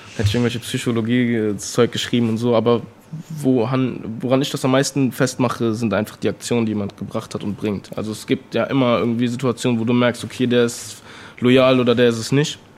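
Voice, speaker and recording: This man talks fairly quickly at a medium pitch. His intonation is flat and monotone. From Bonn, western Germany. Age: 20s. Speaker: rapper. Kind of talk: interview. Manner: casual slangy with many fillers.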